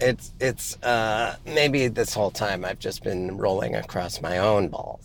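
In a plain, everyday voice, the speaker moves at a fairly slow pace with ordinary pitch variation and hardly any pauses. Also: man, fairly low pitch for a man. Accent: American. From Montana (Missoula). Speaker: podcast co-host. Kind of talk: casual chat. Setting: in a car.

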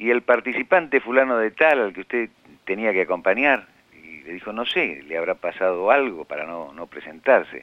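Pitch swings very widely while loudness rises and falls sharply. The pace is moderate. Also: man, medium pitch for a man. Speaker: writer. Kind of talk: interview testimony. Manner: halting.

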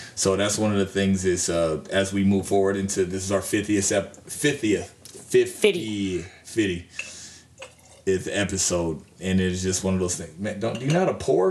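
There is noticeable background noise behind a man speaking at a fairly low pitch. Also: moderate pace. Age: 30s. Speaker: boxing podcast co-host. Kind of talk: casual chat. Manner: animated.

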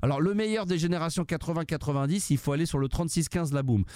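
The voice of a man, dark and mellow in tone. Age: 50s. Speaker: radio host and DJ. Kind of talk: live call-in radio show. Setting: studio. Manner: talkative.

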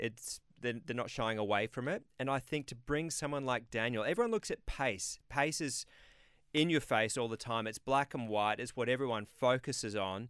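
A man with an Australian accent speaks at a moderate pace and medium pitch, with ordinary pitch variation, on a very clean recording with a silent background. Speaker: former racing driver and co-host. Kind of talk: casual chat, expert analysis. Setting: radio studio.

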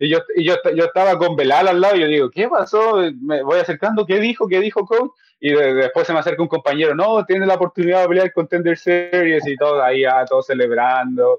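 A man talks very fast in a high voice, his intonation lively. The sound is dry and close with no echo, and his loudness stays very even. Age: 20s. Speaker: MMA fighter. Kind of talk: casual chat.

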